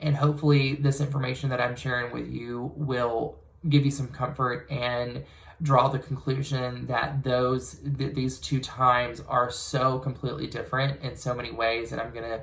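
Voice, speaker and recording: The man's pitch sits at a medium level, and his intonation is monotone and flat. He keeps a moderate pace over noticeable background noise. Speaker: real estate agent. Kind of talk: market update monologue to camera. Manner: halting, with fillers and repeats; reading from notes.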